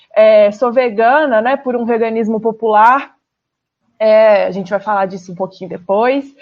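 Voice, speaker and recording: With a Minas Gerais accent, a woman speaks at a moderate pace in a fairly high pitch with ordinary variation. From Brazil, Minas Gerais. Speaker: political candidate, app driver. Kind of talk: radio interview.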